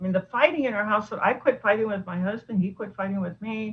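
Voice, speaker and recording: A woman speaks at a very fast pace in a somewhat breathy, medium-pitched voice with ordinary pitch variation. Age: 60s. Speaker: doctor and food addiction author. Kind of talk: interview.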